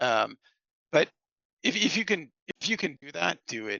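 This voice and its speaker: A man talks with vocal fry. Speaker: financial planning exam candidate sharing study tips. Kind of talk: casual chat. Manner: fast when excited.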